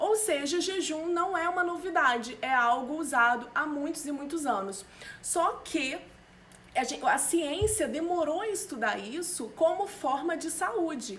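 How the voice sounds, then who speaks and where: Audible room echo surrounds a woman speaking at an extremely high pitch. Her pace is fairly slow and her intonation lively. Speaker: nutritionist. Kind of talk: live stream talk. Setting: live stream.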